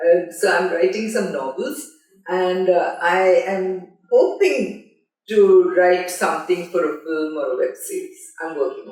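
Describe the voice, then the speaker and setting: In a room with audible echo, a woman talks at a fairly slow pace and medium pitch, with ordinary pitch variation and big swings in loudness. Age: 70s. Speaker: film journalist. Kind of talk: interview. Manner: halting.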